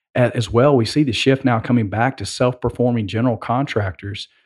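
A man with a Southern US accent and fairly even intonation on a very clean recording with a silent background. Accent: Southern US, slow drawl. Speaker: podcast co-host.

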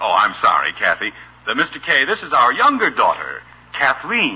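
A man's put-on character voice, medium in pitch, bright and sharp with a husky, rough edge, very wide pitch swings, and a moderate pace.

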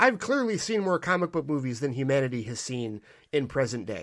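In a very clean recording with a silent background, a man with a fairly high pitch talks at a fairly quick pace, his tone animated and his intonation lively. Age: 40s. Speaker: podcast host and film reviewer. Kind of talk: solo review monologue.

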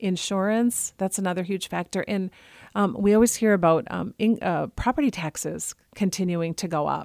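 At a moderate pace, a woman with a normal speaking voice and medium pitch talks with ordinary pitch variation, in a dry, close sound with no echo on a very clean recording with a silent background. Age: 50s. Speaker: senior living advisor. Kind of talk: radio interview. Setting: radio studio.

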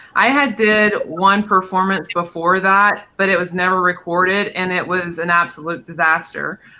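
A man with an American accent talks in a raised, projected voice at a high pitch. His moderate pace has hardly any pauses, and his intonation is fairly even. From North Carolina. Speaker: drag performer. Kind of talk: casual chat.

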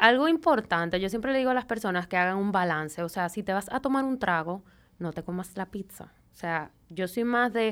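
On a very clean recording with a silent background, a woman uses a plain, everyday voice at a medium pitch with lively intonation. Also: fairly quick pace. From Venezuela. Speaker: nutritionist. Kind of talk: casual chat.

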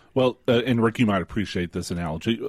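A man with a Texan accent on a very clean recording with a silent background. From rural West Texas. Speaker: radio co-host. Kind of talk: talk radio discussion. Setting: radio studio. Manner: halting, many fillers.

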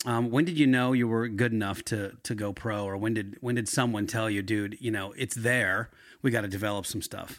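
A man with an American accent talks at a fairly quick pace in a medium pitch, using a normal speaking voice with fairly even intonation, on a very clean recording with a silent background. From Philadelphia area. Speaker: podcast host. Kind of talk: interview. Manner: casual.

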